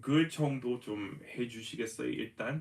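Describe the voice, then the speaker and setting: A man speaks at a medium pitch with an American accent and some vocal fry. His pace is moderate, with ordinary pitch variation. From US, Denver Colorado. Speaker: English teacher. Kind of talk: live-streamed language lesson. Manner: code-switching English and Korean.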